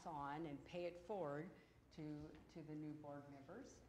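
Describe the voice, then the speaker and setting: Audible room echo surrounds a woman with an American accent and a very deep, low pitch. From Oregon, Portland area. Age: 50s. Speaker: former school board member. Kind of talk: public comment at meeting. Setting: board meeting room with audience. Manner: loud.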